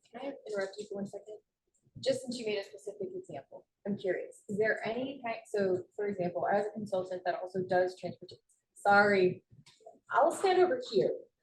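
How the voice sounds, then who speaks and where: At a fairly quick pace, a woman with medium pitch and ordinary pitch variation talks with big swings in loudness. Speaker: transportation consultant. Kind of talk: committee meeting discussion. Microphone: no microphone, echoey room.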